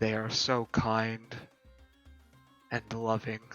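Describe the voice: A man's booming, put-on character voice at a medium pitch, monotone and flat, with faint music in the background.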